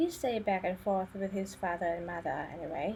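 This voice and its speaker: A woman speaks with a dark, mellow tone that is somewhat breathy. Her pitch shows ordinary variation. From Thailand. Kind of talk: biography narration. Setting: home recording, poor audio quality.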